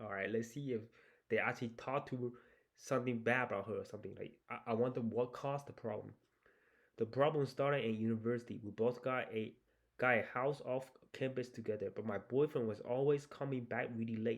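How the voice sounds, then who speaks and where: Speaking with a Chinese accent, a man talks at a fairly quick pace, medium in pitch, with fairly even intonation. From China. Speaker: YouTuber reading and reacting to Reddit stories. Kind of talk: casual reaction commentary with reading aloud. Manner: casual, hesitant with fillers.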